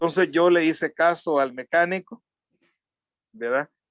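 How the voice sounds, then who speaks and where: A man is speaking. He has a Salvadoran accent. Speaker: social activist and communicator. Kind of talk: interview. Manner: halting.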